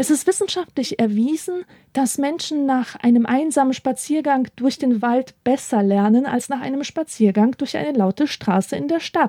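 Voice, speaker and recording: A woman with a high pitch, a dark, mellow tone and lively intonation, at a moderate pace, in a dry, close sound with no echo. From Poland, moved to Germany at age eight. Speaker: book podcast host. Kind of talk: scripted narration.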